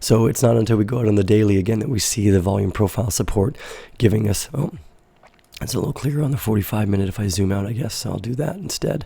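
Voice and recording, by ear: A man rattles off lines very fast in a raspy, fairly low put-on character voice.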